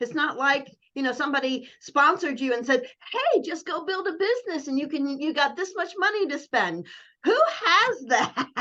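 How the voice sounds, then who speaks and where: A woman speaks in a raised, projected voice with a high pitch and a bright, sharp tone. Her pitch swings very widely at a moderate pace. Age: 60s. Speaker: network marketing coach. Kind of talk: casual chat. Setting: video call.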